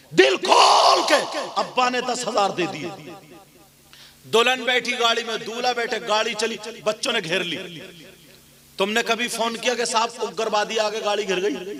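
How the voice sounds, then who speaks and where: A man's high, raised, projected voice with ordinary pitch variation amid noticeable background noise. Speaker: Islamic preacher giving a sermon. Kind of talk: public Islamic sermon.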